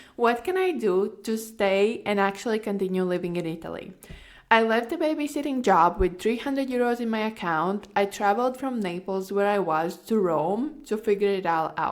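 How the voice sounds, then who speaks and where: Lively intonation at a moderate pace, in a Latvian accent. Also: woman, medium pitch for a woman. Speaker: podcast host, online course coach. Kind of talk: personal story monologue. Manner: casual, filler-heavy.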